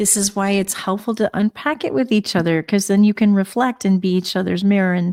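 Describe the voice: A woman talks at a fairly quick pace with a slightly mellow tone. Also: medium pitch for a woman, ordinary pitch variation.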